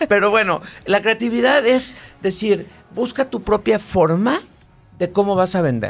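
Here a man is talking. His pace is fairly slow. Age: 40s. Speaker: sales and marketing director. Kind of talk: casual chat.

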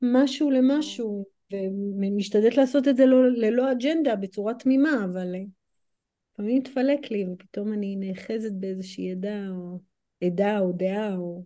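A woman with an American accent speaks at a fairly slow pace in a fairly high pitch, with a dark, mellow tone. Her pitch varies in an ordinary way, and her loudness swings widely. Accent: American accent in Hebrew. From United States. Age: 40s. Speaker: movement coach and human design practitioner. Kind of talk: podcast interview.

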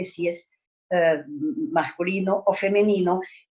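This woman has a dark, mellow tone. Her intonation is lively. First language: Hungarian (speaking Spanish). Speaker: language teacher. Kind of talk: lecture.

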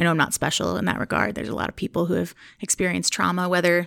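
A woman speaks at a fairly low pitch with vocal fry. The recording is very clean, with a silent background. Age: 30s. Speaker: podcast host and wellness coach, author being interviewed. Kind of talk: interview about her book.

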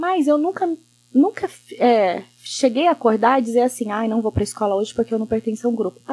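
A woman with a dark, mellow tone speaks at a fairly quick pace and with lively intonation, the sound dry and close with no echo. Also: fairly high pitch for a woman. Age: 30s. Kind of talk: casual chat.

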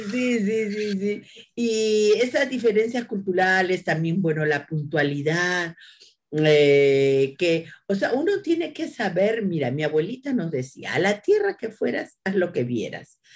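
A woman with a medium pitch speaks at a very slow pace. Her pitch swings very widely. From Peru, Lima (Barranco). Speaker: agricultural engineer and university lecturer. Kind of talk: interview.

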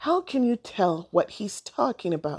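A woman's put-on character voice, slightly mellow with a slightly husky edge, big pitch swings, fairly slow pace. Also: medium pitch for a woman.

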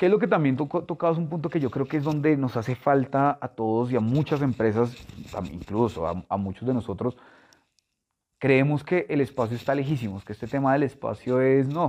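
At a fairly quick pace, a man talks in an unremarkable speaking voice at medium pitch with lively intonation. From Colombia, Bogotá. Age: 30s. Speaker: chemical industry sales director. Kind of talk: interview.

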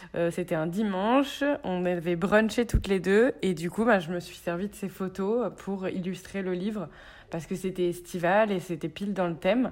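Over a very clean recording with a silent background, a woman talks in an unremarkable speaking voice at medium pitch, with ordinary pitch variation and a moderate pace. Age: 30s. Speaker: chef and cookbook author. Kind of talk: casual chat.

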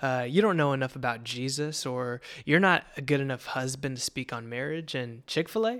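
At a moderate pace, a man talks in a normal speaking voice with ordinary pitch variation, on a very clean recording with a silent background. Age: 20s. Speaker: podcast host and father. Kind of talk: casual monologue.

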